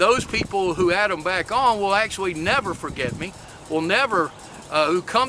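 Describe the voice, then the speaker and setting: With an American accent and ordinary pitch variation, a man talks over noticeable background noise. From US South, Lexington, North Carolina. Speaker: maker and workforce advocate. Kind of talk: talk submission video. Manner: hesitant, many filler words.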